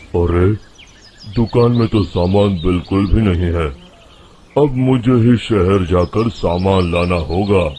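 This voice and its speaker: A man puts on a character voice that is very deep, low and rumbling. He speaks at a fairly slow pace with ordinary pitch variation. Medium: read story. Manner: grumbling, dismissive.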